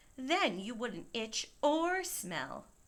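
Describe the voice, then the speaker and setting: A woman's high, put-on character voice with very wide pitch swings. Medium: read story.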